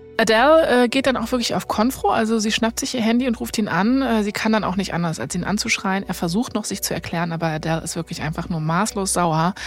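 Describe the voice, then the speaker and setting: A woman talks at a very fast pace with hardly any pauses and lively intonation over noticeable background noise. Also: medium pitch for a woman. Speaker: podcast host, storyteller. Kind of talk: narrated storytelling in casual conversation.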